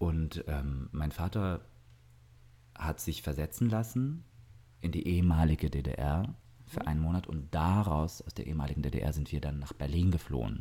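A man speaks at a moderate pace with long, frequent pauses. His pitch is very deep and low, with ordinary variation. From southern Germany, Augsburg. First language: Russian (speaking German). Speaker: singer and actor. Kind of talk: casual interview. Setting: indoors by an open terrace door.

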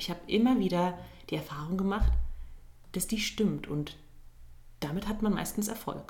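Audible room echo surrounds a woman speaking with vocal fry at a moderate pace. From Turkey (Izmir). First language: Turkish (speaking German). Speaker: musical theatre performer. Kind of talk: casual interview.

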